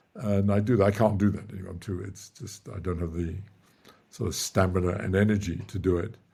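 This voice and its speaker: A man's fairly low, dark, mellow voice, somewhat breathy and fairly quick, with fairly even intonation and big swings in loudness. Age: 80s+. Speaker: theoretical physicist. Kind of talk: casual chat. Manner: halting.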